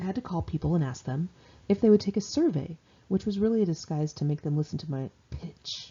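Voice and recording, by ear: Speaking at a fairly quick pace with lively intonation, a woman uses a low pitch, a dark, mellow tone, and a slightly husky edge.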